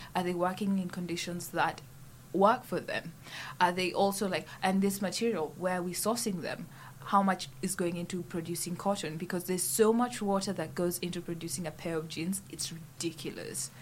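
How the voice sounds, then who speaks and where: Somewhat breathy and fairly low for a woman, her voice moves at a moderate pace with ordinary pitch variation. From Kenya. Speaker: student activist. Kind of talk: casual chat. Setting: studio.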